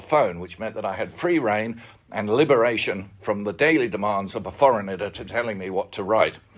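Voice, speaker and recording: An Australian accent comes through clearly. The speaker is a man. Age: 70s. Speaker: retired journalist. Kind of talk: forum talk. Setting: public forum.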